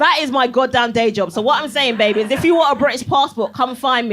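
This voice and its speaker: A woman talking at a very fast pace with ordinary pitch variation, over noticeable background noise. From Barbados. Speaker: comedian. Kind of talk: stand-up. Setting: stage with audience. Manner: animated.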